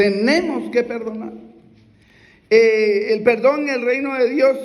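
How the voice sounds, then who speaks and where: A man speaks at an extremely high pitch and a very slow pace. Audible room echo and noticeable background noise fill the recording. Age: 60s. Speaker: preacher. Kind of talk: sermon. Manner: halting.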